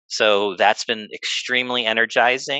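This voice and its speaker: A man speaks with a Midwestern American accent and a bright, sharp tone. The recording is dry and close, with no echo. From US Midwest, Northwest Indiana. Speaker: sports business executive. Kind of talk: interview.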